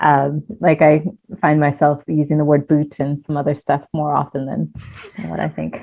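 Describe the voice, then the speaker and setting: A woman with an American accent speaks at a very deep, low pitch. Her intonation is monotone and flat. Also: moderate pace. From United States. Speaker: life coach. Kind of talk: interview conversation. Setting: video call.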